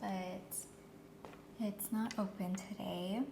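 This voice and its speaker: A woman's calm, medium-pitched voice with flat, monotone intonation against noticeable background noise. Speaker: ASMR creator doing a cafe barista roleplay. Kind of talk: soft-spoken ASMR roleplay. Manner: soft-spoken, calm, customer-service tone.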